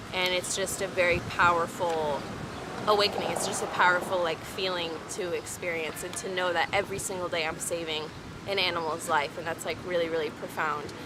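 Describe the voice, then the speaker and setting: Intonation is monotone and flat at a fairly quick pace, with noticeable background noise and audible room echo. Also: woman, fairly low pitch for a woman. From Texas, Houston. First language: French. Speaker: vlogger. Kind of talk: casual chat. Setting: outdoors. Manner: hesitant with many fillers.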